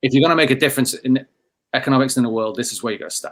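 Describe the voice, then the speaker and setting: At a very fast pace, a man of medium pitch talks with fairly even intonation. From England. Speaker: company founder and CEO. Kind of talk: podcast conversation.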